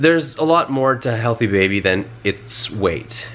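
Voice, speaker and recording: A man's pitch moves in an ordinary way as he talks at a moderate speed, with noticeable noise behind him. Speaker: vlogger, new father of twins. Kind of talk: casual chat.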